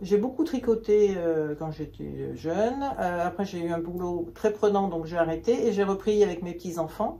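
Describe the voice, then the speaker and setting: The delivery is fairly slow, in an unremarkable speaking voice with ordinary pitch variation. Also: woman, fairly low pitch for a woman. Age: 60s. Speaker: knitting hobbyist and shop customer. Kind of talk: casual interview chat.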